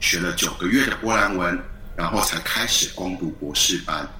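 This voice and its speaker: The speech has ordinary pitch variation, with audible room echo and noticeable background noise. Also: man. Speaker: university language lecturer. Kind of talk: interview. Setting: video call. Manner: hesitant, many fillers.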